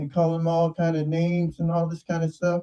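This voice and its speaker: A man speaks in a high pitch with a dark, mellow tone. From Southern California (San Diego, Watts). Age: 60s. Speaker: online show host. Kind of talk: casual monologue. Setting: video call. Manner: animated.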